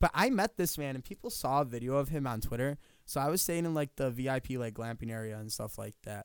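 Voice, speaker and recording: Speaking at a very fast pace, a man with an American accent has a medium pitch. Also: ordinary pitch variation. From western New York. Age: 20s. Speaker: podcast co-host. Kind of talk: casual chat. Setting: studio.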